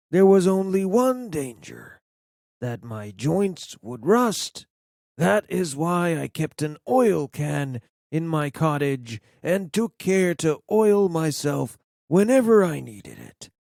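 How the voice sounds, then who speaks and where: A man's put-on character voice, fairly high in pitch and fairly slow, with very wide pitch swings and big swings in loudness, on a very clean recording with a silent background. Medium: read story.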